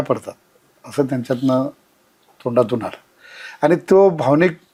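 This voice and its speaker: This man has a fairly high pitch and an unremarkable speaking voice. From Maharashtra, rural Kolhapur district. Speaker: regional party organizer. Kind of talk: interview reminiscence.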